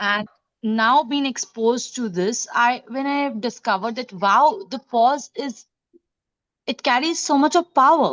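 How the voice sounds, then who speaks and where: A woman's high voice at a fairly slow pace, with very wide pitch swings. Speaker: trainer. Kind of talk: participant sharing experience.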